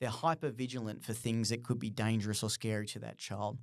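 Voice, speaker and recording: A man speaks at a moderate pace. The recording is very clean with a silent background. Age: 30s. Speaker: podcast host, play therapist. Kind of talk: solo podcast monologue. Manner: halting, many fillers and restarts.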